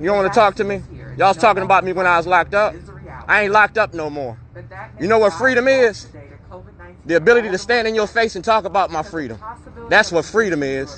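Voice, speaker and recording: A man speaks at a very fast pace, the sound dry with no echo and light background noise. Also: ordinary pitch variation. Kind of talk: confrontational heckling. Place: street. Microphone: phone near.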